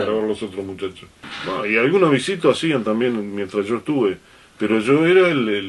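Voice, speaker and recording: Over noticeable background noise, a man with a medium pitch speaks at a moderate pace with lively intonation. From Uruguay. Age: 60s. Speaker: radio announcer. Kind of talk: interview answer.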